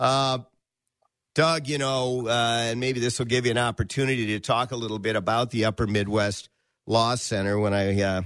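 Over a quiet background, a man with an ordinary speaking voice talks at medium pitch and a moderate pace. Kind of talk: radio ad read, sales pitch. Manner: urgent, upbeat hard-sell, rhythmic repeated phone number and offer code.

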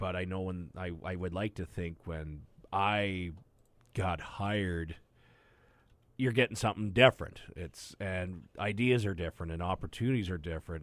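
Very deep and low, a man's voice moves at a moderate pace with ordinary pitch variation. The recording is very clean, with a silent background. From Southern Alberta, Canada. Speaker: hockey broadcaster. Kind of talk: casual chat.

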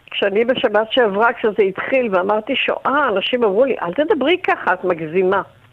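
Hardly any pauses break this woman's speech at a moderate pace. Her fairly high pitch carries lively intonation over noticeable background noise. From Israel. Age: 80s+. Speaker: retired tour guide, residents' association chair. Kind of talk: radio interview.

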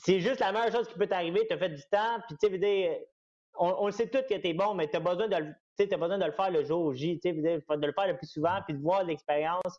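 Here a man speaks with a high pitch at a fairly quick pace. His pitch variation is ordinary. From Quebec. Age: 20s. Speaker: MMA fighter. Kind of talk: interview.

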